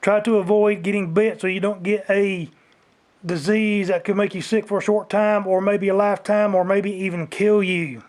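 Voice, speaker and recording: In an American accent, a man talks loudly at a moderate pace, his high-pitched voice held to a monotone, flat intonation. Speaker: outdoors vlogger. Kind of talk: rant. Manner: grumpy-sounding.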